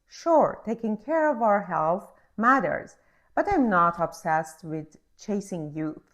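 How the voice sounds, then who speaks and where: Speaking very slowly with a non-native accent, a woman uses a medium pitch with very wide pitch swings. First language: not English. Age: 40s. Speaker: podcast host. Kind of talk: scripted monologue introduction.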